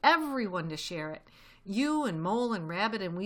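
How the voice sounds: What you hear is a natural reading voice.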